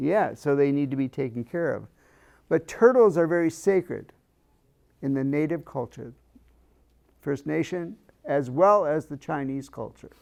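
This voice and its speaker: At a moderate pace with ordinary pitch variation, the speech includes long, frequent pauses in a very clean recording with a silent background. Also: man, fairly high pitch for a man. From US Midwest, rural farm. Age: 60s. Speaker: grief counselor. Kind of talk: workshop presentation. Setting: room with live audience. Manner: conversational, asks audience questions.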